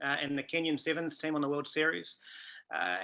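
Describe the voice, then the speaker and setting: A man with a New Zealand accent talks fairly quickly in a fairly high voice, his intonation fairly even. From New Zealand, Taranaki. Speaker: rugby coach. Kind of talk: interview.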